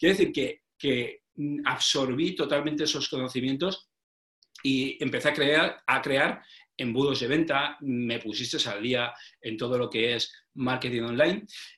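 This man's pitch is medium with ordinary variation, and his pace is fairly slow. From Spain, Petrel, province of Alicante. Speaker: sales trainer and author. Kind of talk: interview. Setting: video call. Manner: halting, with many repeated words.

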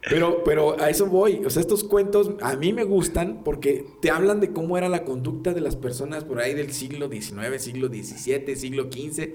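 A man's fairly high voice at a moderate pace, hardly any pauses, lively intonation, audible room echo and noticeable background noise. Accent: Mexican. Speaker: podcast host. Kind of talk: casual chat.

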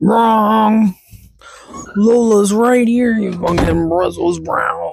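The pitch is fairly high in this put-on character voice. Delivery is very slow. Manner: sassy, confrontational.

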